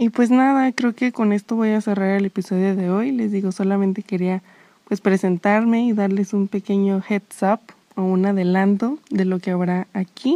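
A woman speaks at a moderate pace and medium pitch with a dark, mellow tone. Her loudness stays very even and her intonation fairly even over a quiet background. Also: dry, close sound with no echo. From Mexico. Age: 20s. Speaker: podcast host, psychology student. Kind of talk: casual monologue.

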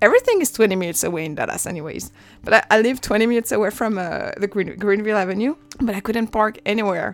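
A very fast French accent with ordinary pitch variation, in a very clean recording with a silent background. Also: woman, fairly high pitch for a woman. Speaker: podcast host. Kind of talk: personal monologue.

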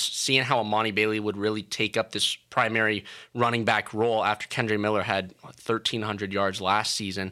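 Over a silent background in a very clean recording, a man speaks at a fairly quick pace in a fairly low voice with a bright, sharp tone. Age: 20s. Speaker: college radio sports host. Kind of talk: casual sports talk. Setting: studio.

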